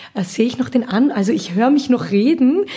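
A woman at a fairly quick pace, with ordinary pitch variation and noticeable background noise. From Austria, Vienna area (Gablitz). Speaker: singer and musical actress. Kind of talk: casual interview. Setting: at her home in Gablitz.

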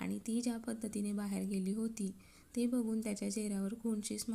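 Fairly even intonation, reading aloud in a natural voice

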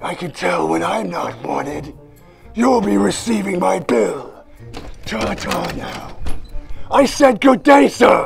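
A man talks at a fairly slow pace with clear music in the background. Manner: unctuous, prissy.

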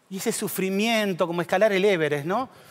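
A man in a Rioplatense accent speaks at a moderate pace with a high pitch. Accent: Argentine Rioplatense Spanish. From Argentina, Pergamino (Buenos Aires province); Buenos Aires province, Argentina. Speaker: teacher and psychologist; teacher. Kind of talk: conference talk. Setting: auditorium stage with audience. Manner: animated. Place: stage. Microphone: headset.

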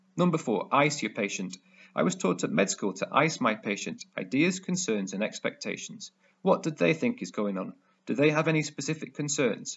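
With a British accent, the voice carries vocal fry and very wide pitch swings at a moderate pace. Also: man. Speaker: emergency medicine doctor / medical educator. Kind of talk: educational medical tutorial talk to camera.

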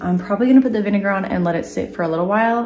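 A woman's voice amid light background noise and audible room echo. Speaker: DIY vlogger. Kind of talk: casual vlog chat. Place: workshop. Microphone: phone near.

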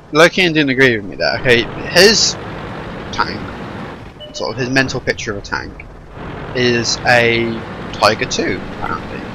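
With music in the background, a man speaks at a medium pitch and a moderate pace, with ordinary pitch variation, big swings in loudness and long, frequent pauses. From Channel Islands. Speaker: gaming video creator. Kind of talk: casual gameplay commentary.

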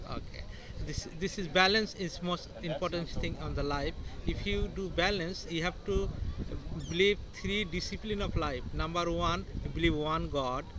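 A man talks in an Indian accent, the sound dry with no echo and noticeable background noise behind him. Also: moderate pace. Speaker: rock balancing artist, Reiki master. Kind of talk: interview answer. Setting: outdoors. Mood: calm, earnest, spiritual. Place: street. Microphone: phone near.

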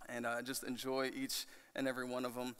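A man's bright, sharp tone at a moderate pace over a quiet background. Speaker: student pastor. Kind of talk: sermon. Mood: warm, emotional. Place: church. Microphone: podium.

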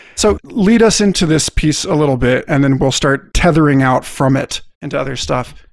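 At a moderate pace, a man talks in a plain, everyday voice. His intonation is lively. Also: fairly high pitch for a man, hardly any pauses. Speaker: podcast host. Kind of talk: scripted narration.

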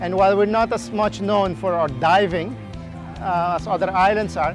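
Against clear music in the background, a high-pitched man talks at a moderate pace with ordinary pitch variation, the sound dry with no echo. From Aruba. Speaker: marine biologist. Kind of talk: interview answer. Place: beach.

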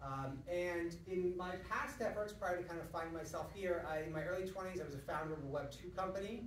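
A man speaks at a very fast pace with hardly any pauses, high pitch and ordinary pitch variation. Light background noise and audible room echo are present. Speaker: lecturer. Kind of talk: lecture. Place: hall. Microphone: camera far.

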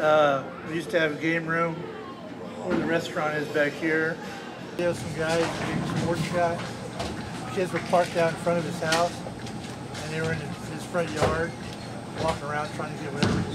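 Loud background noise surrounds a man speaking at a moderate pace. He leaves long, frequent pauses. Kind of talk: interview answer. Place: hall.

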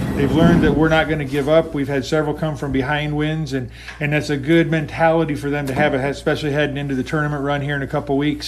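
The pace is very fast. A man is speaking. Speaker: high school softball head coach. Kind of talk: interview answer. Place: stadium.

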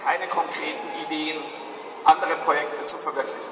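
A man is speaking at a moderate pace. There is noticeable background noise. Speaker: company representative on panel. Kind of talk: interview answer. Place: hall.

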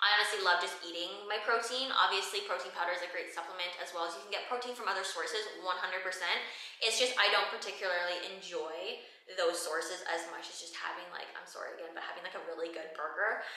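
Talking at a very fast pace with fairly even intonation, a woman is heard with audible room echo over a quiet background. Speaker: fitness trainer and content creator. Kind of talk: Q&A vlog. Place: gym.

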